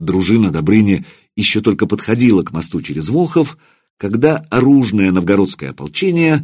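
Plain reading aloud with lively intonation is heard against a quiet background.

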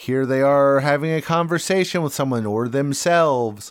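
With an American accent, a man speaks in a plain, everyday voice, fairly high in pitch, at a moderate pace with ordinary pitch variation, in a very clean recording with a silent background. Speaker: podcast co-host, movie reviewer. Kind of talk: casual banter, film review podcast.

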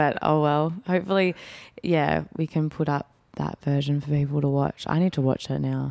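The dry, close sound with no echo carries a dark, mellow tone and an Australian accent, spoken at a moderate pace with fairly even intonation. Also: woman, very deep, low pitch for a woman. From Perth, Australia. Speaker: actress. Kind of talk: casual interview chat.

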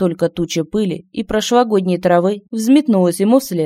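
Plain reading aloud, its pitch moving in an ordinary way

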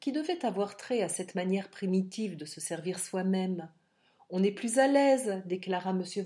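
The voice is natural. It is reading a text aloud.

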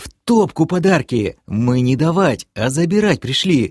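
A man's put-on character voice, fairly high and slightly mellow with a slightly husky edge, big pitch swings, a fairly slow pace, and a very clean recording with a silent background

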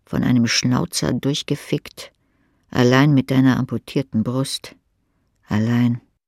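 On a very clean recording with a silent background, a man speaks at a slow pace with a slightly mellow tone and fairly even intonation, the sound dry and close with no echo.

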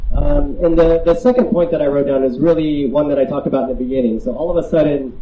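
The speech runs at a very fast pace, with audible room echo around it. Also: man. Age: 30s. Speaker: psychiatrist. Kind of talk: lecture. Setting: outdoor festival tent with audience.

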